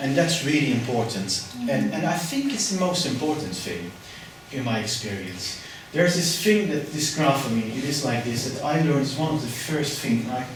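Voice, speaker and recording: A man with a fairly high pitch and lively intonation talks at a moderate pace. Noticeable background noise and audible room echo come through. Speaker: mental health nurse. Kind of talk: workshop talk. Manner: calm; halting.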